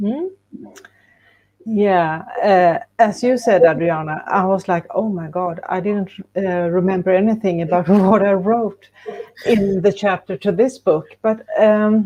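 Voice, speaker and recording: A woman with a Swedish accent, medium in pitch, at a fairly slow pace with ordinary pitch variation. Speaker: co-author of an anthology book. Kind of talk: panel interview. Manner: halting.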